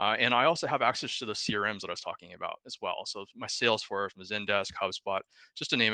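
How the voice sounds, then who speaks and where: Talking at a very fast pace, a man swings widely in loudness, the sound dry and close with no echo. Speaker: software sales executive. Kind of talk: product demo presentation.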